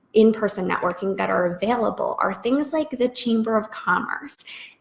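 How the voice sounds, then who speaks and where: A woman with a fairly high voice and ordinary pitch variation talks through noticeable background noise. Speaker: freelance business coach. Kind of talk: live webinar Q&A. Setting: live video stream. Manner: casual, many fillers.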